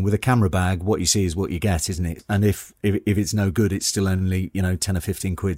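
The voice stays monotone and flat, in a very clean recording with a silent background and a dry, close sound with no echo. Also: man. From northern England, Newcastle upon Tyne. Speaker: actor and landscape photographer. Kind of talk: interview. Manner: halting, many repetitions.

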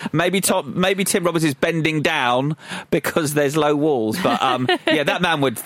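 Amid noticeable background noise, a man speaks at a moderate pace and fairly high pitch, with lively intonation and very even loudness. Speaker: film podcast co-host. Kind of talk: casual film discussion.

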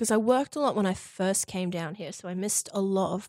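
Speaking at a moderate pace, a woman with an Australian accent uses a medium pitch. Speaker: university student, guest sharing queer experience. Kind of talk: casual interview chat. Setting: studio. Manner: talkative.

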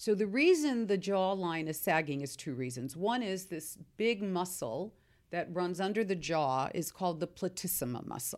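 With an American accent and a plain, everyday voice, a woman speaks at a moderate pace in a fairly low pitch with lively intonation, on a very clean recording with a silent background. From US, Seattle. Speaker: skincare company founder. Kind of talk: interview answering listener questions.

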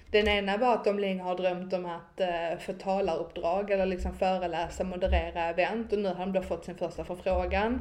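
With audible room echo, a woman talks at a fairly quick pace in a medium-pitched, monotone, flat voice with vocal fry. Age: 20s. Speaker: marketing consultant and network founder. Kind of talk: casual chat.

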